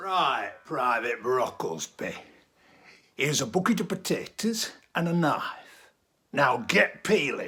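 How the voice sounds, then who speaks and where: A man's raspy, put-on character voice, high in pitch with very wide swings, fairly slow, with long, frequent pauses. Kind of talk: one-man theatre performance. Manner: barking, commanding.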